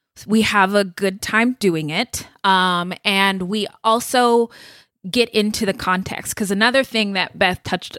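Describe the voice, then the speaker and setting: On a very clean recording with a silent background and a dry, close sound with no echo, a woman has an ordinary speaking voice at medium pitch with ordinary pitch variation. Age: 30s. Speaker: podcast co-host. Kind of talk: casual interview.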